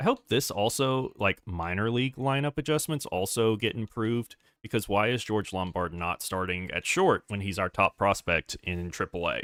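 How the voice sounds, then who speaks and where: A man with a normal speaking voice at a fairly low pitch, moderate pace, lively intonation and hardly any pauses, on a very clean recording with a silent background. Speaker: gaming streamer. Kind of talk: live gameplay stream commentary.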